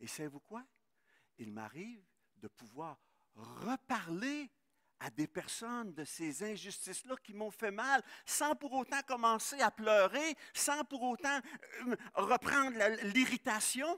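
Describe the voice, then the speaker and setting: A raised, projected voice with a bright, sharp tone, lively intonation and big swings in loudness, very slow in pace, with a dry, close sound and no echo. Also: man, extremely high pitch for a man. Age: 60s. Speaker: pastor. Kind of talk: sermon. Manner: halting.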